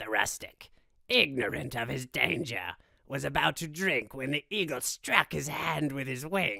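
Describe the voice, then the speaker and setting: A man speaks at medium pitch with a bright, sharp tone and vocal fry. He goes at a fairly slow pace. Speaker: voice actor. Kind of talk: fable reading.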